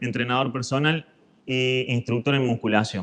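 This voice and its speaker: This is a man speaking. He has a Córdoba accent. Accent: Argentine Córdoba. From Argentina, Córdoba. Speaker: fitness instructor, physical education teacher. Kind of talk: lecture.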